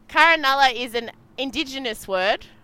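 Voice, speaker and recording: With an Australian accent, a woman projects a raised, high-pitched voice with a bright, sharp tone. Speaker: sailing race commentator. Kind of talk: live commentary. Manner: animated.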